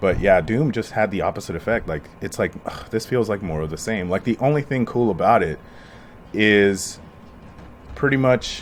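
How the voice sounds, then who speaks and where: This is a plain, everyday voice: a man with an American accent and a fairly low pitch. He speaks at a moderate pace with lively intonation. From US. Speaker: podcast host. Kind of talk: casual chat. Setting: at home.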